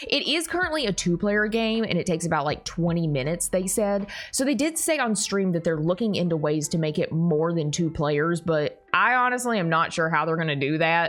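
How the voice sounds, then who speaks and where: A woman with a Southern US accent talks at a fairly quick pace in a fairly low pitch. Her intonation is lively, and music plays in the background. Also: very even loudness. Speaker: YouTuber. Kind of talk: unboxing video. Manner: casual, rambling with filler words. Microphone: audio sounded bad, heavily processed.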